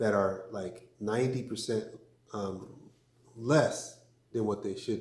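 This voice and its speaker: Somewhat breathy, a man's fairly low voice comes through. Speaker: crypto vlogger and business owner. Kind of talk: casual vlog talk. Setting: studio. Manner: measured, with many fillers.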